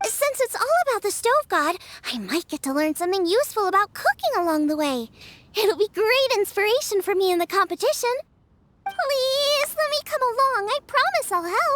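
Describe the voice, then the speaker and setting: At a moderate pace, someone does a put-on character voice with extremely high pitch. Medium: video game. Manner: energetic, eager.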